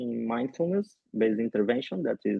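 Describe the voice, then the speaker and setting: A man speaks at a medium pitch. He talks with a Rio de Janeiro accent. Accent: Brazilian Carioca accent in English. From Brazil, Rio de Janeiro. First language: Portuguese. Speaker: physiotherapist and researcher. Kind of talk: podcast interview. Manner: halting, many fillers.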